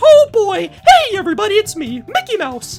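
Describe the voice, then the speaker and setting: A put-on character voice at an extremely high pitch moves at a moderate pace with very wide pitch swings. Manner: cheerful, excited.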